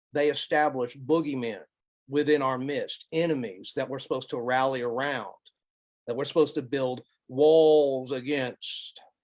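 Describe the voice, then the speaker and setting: A man's fairly high-pitched voice with an Alabama accent and fairly even intonation. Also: moderate pace. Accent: Southern US (Alabama). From US South, Alabama. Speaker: college professor, lecturer. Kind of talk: Q&A after a lecture.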